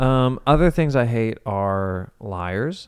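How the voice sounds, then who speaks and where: A man with an American accent has an unremarkable speaking voice, fairly low in pitch with ordinary variation. The recording is very clean with a silent background. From US Midwest, Ohio (Cincinnati area). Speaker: podcast co-host, auto shop owner. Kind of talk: casual chat.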